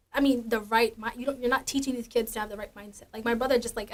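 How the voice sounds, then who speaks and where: A woman with an American accent at a very fast pace. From Minnesota, US (Minneapolis). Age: 20s. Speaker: college student interviewee. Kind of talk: interview. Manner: loud.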